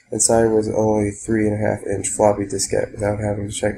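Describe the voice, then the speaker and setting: A man's dark, mellow, somewhat breathy voice, monotone and flat, at a very fast pace. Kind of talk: soft-spoken creepypasta reading. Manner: soft-spoken, whispery.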